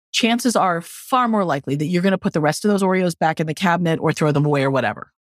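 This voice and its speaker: Talking very fast with lively intonation and very even loudness, this speaker has an American accent, recorded very cleanly against a silent background with a dry, close sound and no echo. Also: woman, fairly low pitch for a woman. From New Mexico and northern California. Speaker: author and social worker. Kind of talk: interview. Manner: warm, humorous.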